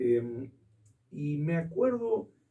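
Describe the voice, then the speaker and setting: A man speaks at a high pitch with very wide pitch swings. His tone is dark and mellow. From Argentina. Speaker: theatre historian and critic. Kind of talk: interview answer.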